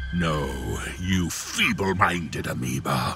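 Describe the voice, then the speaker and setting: A man puts on a raspy character voice and talks at a very slow pace. Clear music plays in the background. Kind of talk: horror audio drama. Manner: menacing, contemptuous, grandiose.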